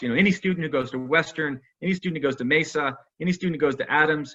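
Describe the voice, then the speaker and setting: A man speaks with ordinary pitch variation. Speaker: college president. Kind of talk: virtual alumni Q&A talk. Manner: fast.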